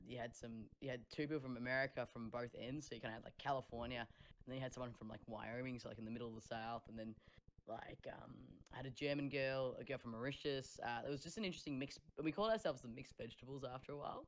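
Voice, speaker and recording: A woman talks very fast with an Australian accent and hardly any pauses. Her pitch is very deep and low. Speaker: singer-songwriter. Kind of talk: casual chat. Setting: live stream video call. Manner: animated.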